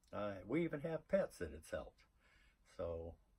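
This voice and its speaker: Recorded very cleanly against a silent background, a man with an American accent talks at a moderate pace and sounds somewhat breathy. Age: 60s. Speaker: customer testimonial. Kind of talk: testimony. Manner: halting, many fillers.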